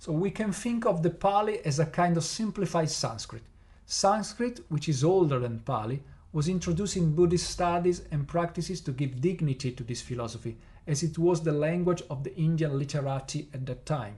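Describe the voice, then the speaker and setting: A man with an Italian accent speaks at a moderate pace, his pitch fairly high. His intonation is lively and his tone dark and mellow. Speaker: podcast host teaching Buddhism. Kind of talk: lecture-style podcast narration. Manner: partly scripted with hesitations.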